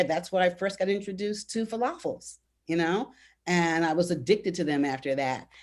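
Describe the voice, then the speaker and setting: An unremarkable speaking voice with an American accent talks at a moderate pace with ordinary pitch variation. The background is quiet. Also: woman. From Washington DC, Ward 5, Northeast. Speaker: panelist, local resident. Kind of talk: virtual panel discussion. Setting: video call.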